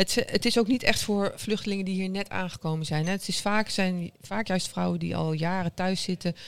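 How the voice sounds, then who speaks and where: The recording is very clean, and the background is silent. The pace is moderate. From Netherlands, Arnhem. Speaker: social entrepreneur. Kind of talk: interview. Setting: café.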